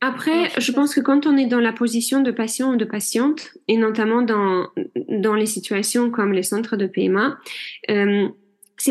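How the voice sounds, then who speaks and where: A woman speaks at a fairly slow pace in a fairly high voice, with ordinary pitch variation. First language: not French (speaking French). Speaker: general practitioner and hypnotherapist. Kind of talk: interview.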